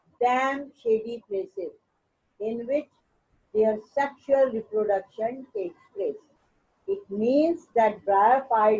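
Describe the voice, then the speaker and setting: Fairly high in pitch with ordinary pitch variation, a woman speaks at a very slow pace. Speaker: biology teacher. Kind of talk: lecture. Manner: repetitive.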